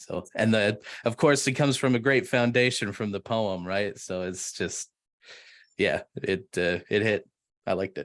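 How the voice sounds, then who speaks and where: Over a quiet background, a man with a Canadian accent and a plain, everyday voice speaks at a moderate pace, fairly low in pitch with ordinary pitch variation. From Canada, Edmonton. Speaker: musician. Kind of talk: casual chat.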